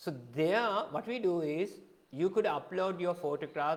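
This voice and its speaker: Speaking at a moderate pace with a Sri Lankan accent, a man uses a high pitch with ordinary pitch variation. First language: Sinhala. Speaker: photography teacher. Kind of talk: live-streamed lecture. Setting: live Facebook video.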